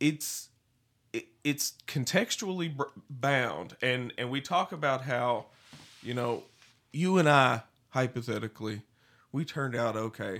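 A man with a Southern US accent speaks at a fairly slow pace, pausing long and often. His pitch is medium, with ordinary variation. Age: 30s. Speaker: podcast co-host. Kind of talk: casual chat.

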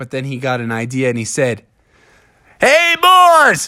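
A man talks in a playful, animated tone. He keeps a fairly slow pace. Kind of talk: fairy-tale narration. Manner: animated storyteller; playful, voicing characters.

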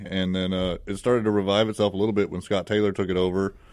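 A man with an American accent talks at a very fast pace in a very deep, low, monotone, flat voice. The recording is very clean, with a silent background. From California, Palmdale. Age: 30s. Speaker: drag strip owner and race shop owner. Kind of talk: radio interview. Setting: radio studio.

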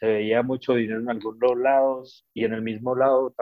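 His pace is very slow. The man talks at a medium pitch. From Colombia, Cali. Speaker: Colombian immigrant in London. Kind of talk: casual interview chat.

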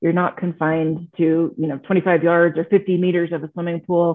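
This woman has a plain, everyday voice, fairly low in pitch, moving at a moderate pace. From Texas. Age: 40s. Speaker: marathon swimmer. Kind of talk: casual chat.

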